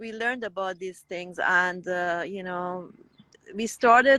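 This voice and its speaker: The tone is bright and sharp, with a Persian accent. The pace is fairly slow, and the sound is dry and close with no echo. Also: woman. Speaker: raw vegan guest sharing testimony. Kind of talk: testimony. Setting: Instagram live. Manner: halting, self-correcting.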